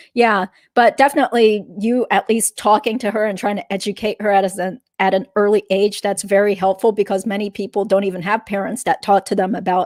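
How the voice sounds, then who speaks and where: A woman's unremarkable speaking voice with an American accent, medium in pitch, fairly quick and fairly even in intonation, on a very clean, dry and close recording with a silent background and no echo. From US South, Georgia. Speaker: attorney. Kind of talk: casual interview chat.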